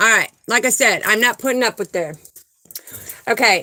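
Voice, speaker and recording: A woman's high, bright, sharp voice, animated in tone, with ordinary pitch variation. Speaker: spiritual livestream host. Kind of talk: live stream chat with viewers.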